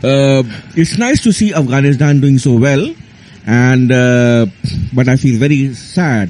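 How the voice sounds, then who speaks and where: A man with a dark, mellow tone and ordinary pitch variation, marked by long, frequent pauses. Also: very even loudness. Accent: Indian. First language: Hindi. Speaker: cricket commentator. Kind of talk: radio studio discussion. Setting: radio studio. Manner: halting.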